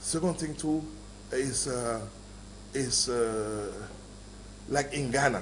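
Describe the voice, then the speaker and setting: Over noticeable background noise and audible room echo, a man talks at a very slow pace with long, frequent pauses. His pitch is medium, with ordinary variation. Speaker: film maker. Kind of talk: interview.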